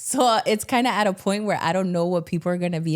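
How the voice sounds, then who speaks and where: This woman speaks in a Miami accent. Her pitch shows ordinary variation. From Miami, Florida. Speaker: stand-up comedian and actress. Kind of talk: casual chat.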